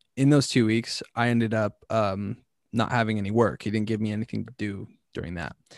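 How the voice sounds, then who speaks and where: An ordinary speaking voice from a man with an American accent, fairly low pitch, fairly quick pace and fairly even intonation, dry and close with no echo against a quiet background. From California. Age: 20s. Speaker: content creator. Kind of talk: casual chat.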